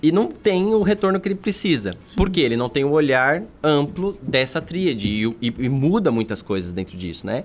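Over music in the background, a man with a fairly high pitch talks at a moderate pace with very wide pitch swings and hardly any pauses. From São Paulo metro area (São Bernardo do Campo). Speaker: veterinary surgeon and course coordinator. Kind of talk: casual podcast interview.

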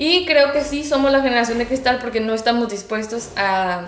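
In a room with audible echo and noticeable background noise, a woman talks at a fairly quick pace, fairly high in pitch, with ordinary pitch variation. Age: 20s. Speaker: student and guest on youth topics. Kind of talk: casual interview.

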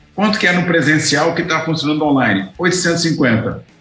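The speaker has lively intonation and a moderate pace. Music plays in the background. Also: man. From Goiás, Brazil. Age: 60s. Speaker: distance education consultant. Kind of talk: interview. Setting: office studio.

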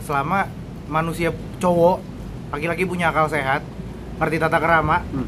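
Over noticeable background noise, a man speaks at a high pitch and a fairly quick pace. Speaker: podcast co-host. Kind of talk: casual chat.

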